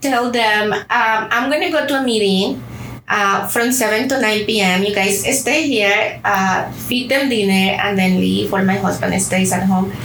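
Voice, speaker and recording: Speaking at a fairly slow pace in a Spanish accent, a woman uses a fairly high pitch with ordinary pitch variation, with audible room echo and noticeable background noise around her. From Colombia. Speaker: bank community affairs executive. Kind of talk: interview.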